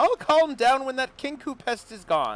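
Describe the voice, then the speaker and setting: A man uses a put-on character voice, extremely high and shrill. He keeps a moderate pace. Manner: irritated, impatient.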